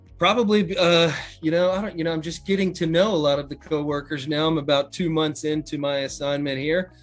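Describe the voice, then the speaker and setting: Music plays in the background as a man with an American accent speaks at a moderate pace. His pitch is fairly high and his intonation fairly even. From Chesapeake, Virginia, USA. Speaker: hotel general manager. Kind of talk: interview answer.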